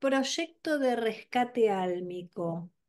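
A woman speaks at a very slow pace in a Rioplatense accent, her pitch swinging very widely. The background is quiet. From Argentina. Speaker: podcast host. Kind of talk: interview. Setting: video call. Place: home room. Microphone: video call.

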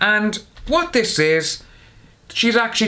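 This man's voice has a bright, sharp tone. His pitch swings widely.

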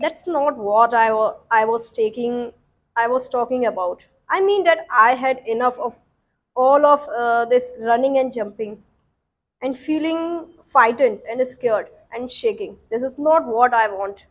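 A woman with a high pitch and ordinary pitch variation speaks at a fairly slow pace. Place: classroom.

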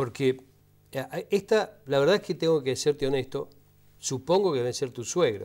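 Long, frequent pauses and lively intonation at a moderate pace against a quiet background. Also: man, fairly high pitch for a man. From Argentina. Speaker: TV host. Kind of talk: interview. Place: studio. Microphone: lapel.

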